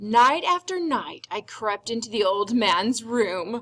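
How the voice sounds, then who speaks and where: Lively intonation marks a woman's put-on character voice. She speaks at a fairly slow pace. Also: fairly high pitch for a woman. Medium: read story. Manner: intense, insistent.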